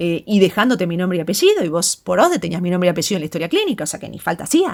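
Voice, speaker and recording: At a very fast pace, a woman talks in a Rioplatense accent at a medium pitch, with big swings in loudness. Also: ordinary pitch variation, very clean recording, silent background. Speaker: psychologist. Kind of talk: personal monologue addressing someone. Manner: halting.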